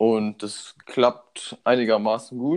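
Flat, monotone intonation from a man at a medium pitch. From Germany, Munich (Bavaria). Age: 20s. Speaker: student and startup founder. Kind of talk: casual interview.

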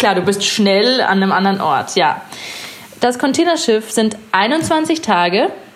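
A woman's fairly high-pitched voice at a fairly slow pace, with very wide pitch swings and noticeable background noise. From Bavaria, Munich and Chiemsee area. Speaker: artist. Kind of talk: casual chat.

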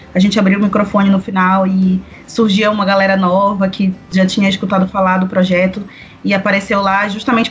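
Her voice is medium in pitch, with monotone, flat intonation. Noticeable background noise runs behind the woman. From Belém do Pará, northern Brazil. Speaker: singer-songwriter and cultural producer. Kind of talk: casual chat.

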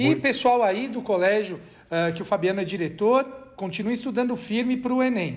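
Here a man speaks with a high pitch and ordinary pitch variation. Room echo and noticeable background noise can be heard. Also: fairly quick pace. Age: 40s. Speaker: law professor. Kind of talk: casual chat.

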